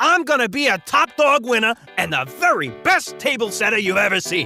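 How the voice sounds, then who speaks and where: Putting on a high-pitched character voice, a man speaks at a moderate pace over clear music in the background. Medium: read story. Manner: playful, laughing, enthusiastic.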